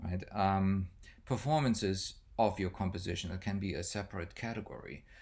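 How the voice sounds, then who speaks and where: In a German accent, a man talks at a fairly slow pace with a fairly low pitch, and audible room echo surrounds him. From Germany. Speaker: music professor. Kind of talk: lecture. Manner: hesitant, many fillers.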